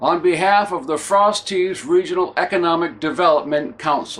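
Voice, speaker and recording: A man's high-pitched voice with a New England accent, at a moderate pace. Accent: New England Yankee. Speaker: humorist. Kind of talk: promotional pitch to camera.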